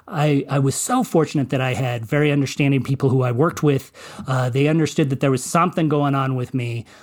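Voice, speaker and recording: A very fast American-accented delivery with fairly even intonation. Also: man, fairly high pitch for a man. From Colorado, US. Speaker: movie critic and journalist. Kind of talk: interview testimony. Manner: halting, many repetitions.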